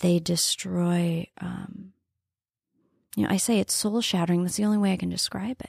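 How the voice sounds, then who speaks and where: With an American accent, this voice moves at a moderate pace, somewhat breathy and with fairly even intonation, broken by long, frequent pauses on a very clean recording with a silent background. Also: woman, medium pitch for a woman. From northeast Nebraska, farm. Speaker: entrepreneur and former TV broadcaster. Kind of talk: casual interview.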